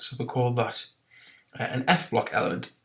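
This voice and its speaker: A man with a British accent, at a fairly quick pace. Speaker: chemistry teacher. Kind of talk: recorded lesson. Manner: fast; hesitant, many fillers.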